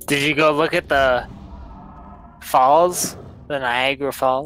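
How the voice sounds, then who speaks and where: Someone with an American accent speaks at a very slow pace over music in the background. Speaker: gamer streamer. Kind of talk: casual chat. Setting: voice chat. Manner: loud.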